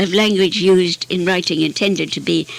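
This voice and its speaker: A woman talks at a moderate pace with a medium pitch. Noticeable background noise sits behind her. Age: 80s+. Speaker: poet. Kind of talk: literary lecture.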